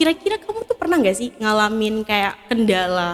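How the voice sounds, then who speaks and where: A woman's voice with very wide pitch swings. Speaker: podcast host. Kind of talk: casual podcast interview, mixing English.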